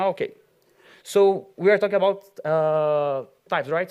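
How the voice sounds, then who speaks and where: At a fairly slow pace, a man with a Brazilian accent talks in a high pitch with ordinary pitch variation. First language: Portuguese. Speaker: software engineer, conference speaker. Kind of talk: conference talk. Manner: halting, many fillers.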